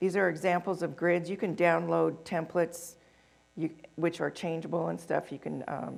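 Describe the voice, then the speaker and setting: The voice carries vocal fry. Its intonation is monotone and flat. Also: woman, fairly low pitch for a woman. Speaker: conference presenter. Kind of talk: conference presentation. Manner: fast.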